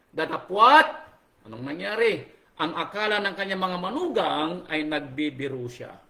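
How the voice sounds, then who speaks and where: A man talks at a moderate pace in a raised, projected voice. His tone is animated. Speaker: pastor. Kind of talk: sermon. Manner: animated, raising voice.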